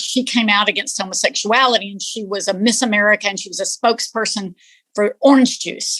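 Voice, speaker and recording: A woman speaks at a fairly quick pace, her voice fairly high in pitch with fairly even intonation. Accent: Texan. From East Texas. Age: 60s. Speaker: interviewee. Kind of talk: interview, personal reflection.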